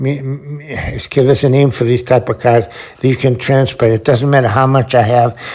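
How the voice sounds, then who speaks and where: Over noticeable background noise, a man at medium pitch speaks at a moderate pace in a monotone, flat intonation. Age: 70s. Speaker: sculptor. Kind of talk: ad-libbed video voice-over. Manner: halting, many repetitions and restarts.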